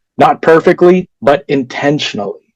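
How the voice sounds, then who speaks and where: A man talks at a moderate pace with ordinary pitch variation, in a plain, everyday voice. The sound is dry and close, with no echo. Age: 20s. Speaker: toastmasters club speaker, carpenter. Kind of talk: prepared speech.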